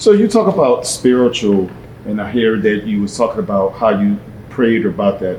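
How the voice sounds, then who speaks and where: Noticeable background noise sits behind a man speaking at a fairly quick pace. His pitch is fairly low, with ordinary pitch variation. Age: 50s. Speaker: interviewer. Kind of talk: interview.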